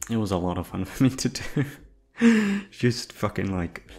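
At a fairly slow pace, a man speaks with very wide pitch swings. His fairly low voice has a slightly mellow tone.

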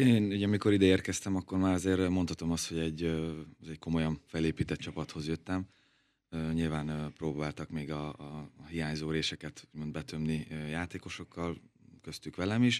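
A man's very deep, low pitch at a moderate pace, with fairly even intonation against a quiet background. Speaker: professional footballer. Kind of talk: radio interview. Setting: studio. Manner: halting, repeats words. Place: studio. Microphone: studio mic.

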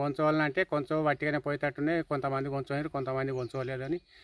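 A man delivers his words in a monotone, flat intonation in a very clean recording with a silent background. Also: dry, close sound with no echo. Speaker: farmer. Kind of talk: casual chat.

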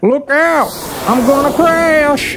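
Someone does a put-on character voice at a slow pace with a fairly bright tone, and faint background noise can be heard. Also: ordinary pitch variation.

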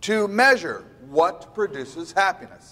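The speaker moves at a fairly slow pace with lively intonation. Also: man. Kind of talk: lecture. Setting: stage with audience. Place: hall. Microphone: lapel.

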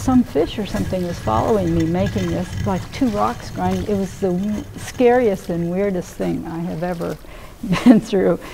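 Over background music, a woman speaks fairly slowly. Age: 70s. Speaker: field biologist studying mammals. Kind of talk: personal storytelling interview. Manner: animated. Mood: vivid, slightly dramatic recounting. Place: hall. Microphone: lapel.

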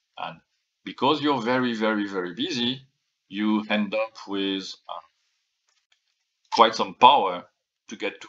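Speaking with a non-native accent, a man talks fairly slowly in a fairly low pitch with ordinary pitch variation, big swings in loudness, and long, frequent pauses. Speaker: former chip architect at a processor company. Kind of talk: technical lecture to camera. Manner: casual, hesitant.

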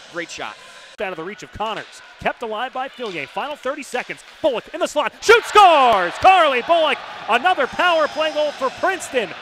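Over noticeable background noise, a man with an extremely high pitch projects his voice, his pitch swinging very widely. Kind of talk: live play-by-play sports commentary. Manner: fast, rapid-fire, clipped; excitable, rising on goals.

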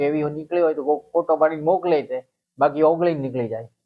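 A man is speaking. His pitch is fairly high. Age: 60s. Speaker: herbal remedy healer. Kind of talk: interview.

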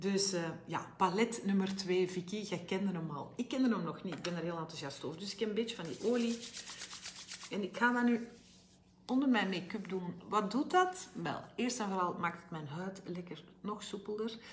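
Over light background noise, a woman speaks at a moderate pace in an ordinary speaking voice, with a medium pitch and ordinary pitch variation. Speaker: health coach and brand ambassador. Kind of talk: live make-up tutorial. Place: home room. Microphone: phone near.

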